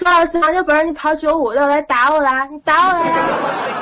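A woman speaks in a high voice. Noticeable background noise runs behind her. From Tianjin. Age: 20s. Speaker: caller. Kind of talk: casual chat. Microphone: poor mic, no sound card plugged in.

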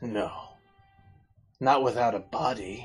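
A man does a put-on character voice at a medium pitch while faint music plays in the background. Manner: curt, deadpan.

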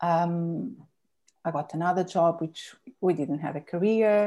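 A dark, mellow tone at a fairly slow pace. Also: woman. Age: 40s. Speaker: akashic record reader and spiritual guide. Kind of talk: casual interview chat about spirituality and rituals. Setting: video call.

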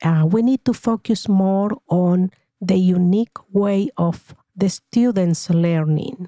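A woman with a Spanish accent speaks very slowly with lively intonation and a dark, mellow tone, the sound dry and close with no echo. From Paraguay. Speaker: retired teacher. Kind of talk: interview. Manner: formal.

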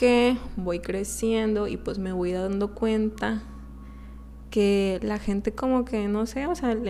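A woman with a Mexican accent at a fairly slow pace. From Mexico. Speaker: podcaster. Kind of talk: casual monologue.

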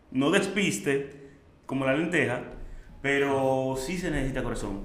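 Someone speaks at a moderate pace in a Dominican accent. The room echo is audible, and background noise is noticeable. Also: man. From Dominican Republic, Santo Domingo. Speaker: chef and entrepreneur. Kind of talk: interview storytelling.

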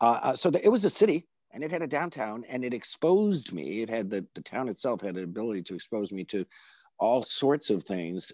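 On a very clean recording with a silent background and a dry, close sound with no echo, a man of medium pitch talks at a fairly quick pace with very wide pitch swings and big swings in loudness. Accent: American. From upstate New York, Binghamton. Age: 60s. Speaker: journalist and former character actor. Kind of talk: casual interview. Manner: animated.

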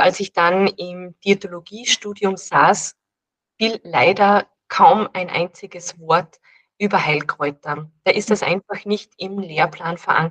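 The speech comes at a very slow pace with fairly even intonation and a dry, close sound with no echo. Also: woman. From Austria, Salzburg. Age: 30s. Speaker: dietitian and herbalist. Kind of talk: casual interview.

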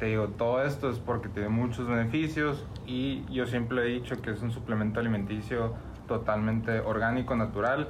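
Audible room echo surrounds a somewhat breathy voice. The intonation is fairly even and the loudness very even. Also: man, medium pitch for a man, moderate pace. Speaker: CBD business owner. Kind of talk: casual interview.

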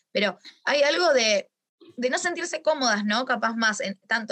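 The tone here is bright and sharp. It belongs to a woman. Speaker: astrologer and talk host. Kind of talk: casual chat. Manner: hesitant, many fillers.

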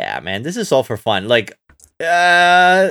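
A very clean recording with a silent background and a fairly bright tone. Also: man.

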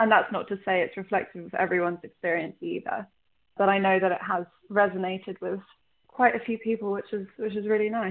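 A woman's medium-pitched voice in a London accent, with fairly even intonation and a fairly quick pace. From London, England (partly Ireland). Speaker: singer-songwriter. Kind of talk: interview. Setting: phone call.

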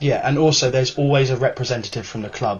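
There's a somewhat breathy quality to this man's voice. His intonation stays fairly even. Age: 20s. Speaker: football fans' council spokesman. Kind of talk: casual chat.

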